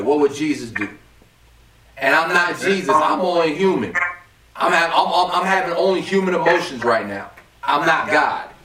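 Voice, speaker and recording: Noticeable background noise sits behind a man speaking at a moderate pace in a fairly high pitch with ordinary pitch variation. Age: 20s. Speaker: podcast host. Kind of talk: casual chat.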